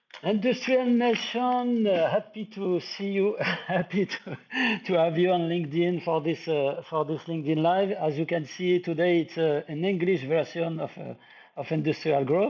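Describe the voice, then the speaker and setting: Over noticeable background noise, a man with a French accent talks at a moderate pace in a high pitch with ordinary pitch variation. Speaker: live stream host. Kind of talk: interview on a live stream. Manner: halting, many repetitions.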